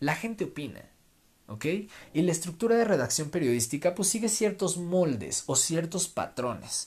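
Lively, high-pitched man's voice at a fairly slow pace, on a very clean recording with a silent background. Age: 20s. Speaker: podcast host and political columnist. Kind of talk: solo podcast monologue.

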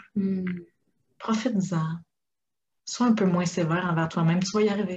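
The speaker has a Quebec accent and a somewhat breathy sound at a moderate pace. Room echo is audible. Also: woman. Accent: Québécois French. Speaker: life coach. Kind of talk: interview.

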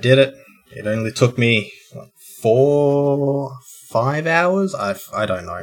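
Music plays behind a man who speaks very slowly with an Australian accent. His intonation is lively. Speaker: podcast co-host. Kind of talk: casual chat.

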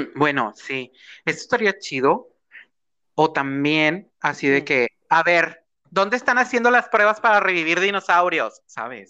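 Against a quiet background, a man with a Mexican accent speaks at a fairly slow pace in a high pitch, his bright, sharp tone animated and his pitch swinging very widely. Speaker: podcast co-host. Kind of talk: casual chat.

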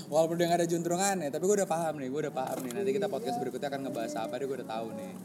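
Talking at a very fast pace with hardly any pauses, a man uses a fairly high pitch that swings very widely. Noticeable background noise and audible room echo are present. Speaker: podcast co-host. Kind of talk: casual chat. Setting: rooftop of a boarding house, open space.

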